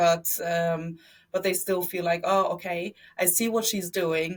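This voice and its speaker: In a German accent, the speaker sounds somewhat breathy, with fairly even intonation at a fairly slow pace. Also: woman. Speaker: media entrepreneur. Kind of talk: interview. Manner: halting, many fillers.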